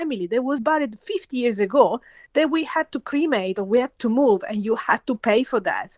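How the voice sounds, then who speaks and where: In an Italian accent, a woman talks at a moderate pace. Her high voice moves through very wide pitch swings. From Italy. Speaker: forensic scientist. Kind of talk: interview. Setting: phone call. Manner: halting.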